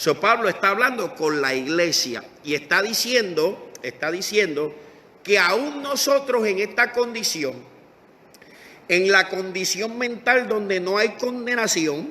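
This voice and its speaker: A man's raised, projected, high-pitched voice at a very slow pace, with lively intonation over noticeable background noise. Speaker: pastor. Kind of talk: sermon. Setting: Facebook Live stream.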